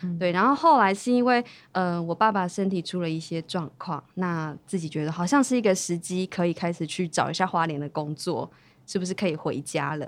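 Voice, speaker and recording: A woman with an unremarkable speaking voice talks at a fairly quick pace and medium pitch. Her recording is very clean, with a silent background. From Taiwan, Hualien (Bunun community). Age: young. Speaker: long-term care supervisor. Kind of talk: interview.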